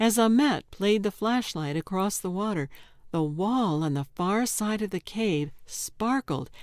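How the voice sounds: Lively intonation runs through this one. It is a natural reading voice.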